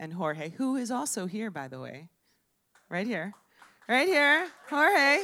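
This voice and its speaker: A woman speaks at a very slow pace with long, frequent pauses. Her fairly high voice has a bright, sharp tone and very wide pitch swings. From Miami. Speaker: storyteller. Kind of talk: live storytelling. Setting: bar stage with audience.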